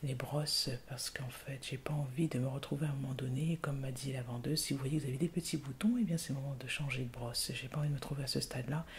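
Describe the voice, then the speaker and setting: A woman whispers, soft-spoken, at a very fast pace. Noticeable background noise runs underneath. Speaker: ASMR YouTuber. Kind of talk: ASMR skincare routine, casual talk to camera. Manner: whispered, soft-spoken.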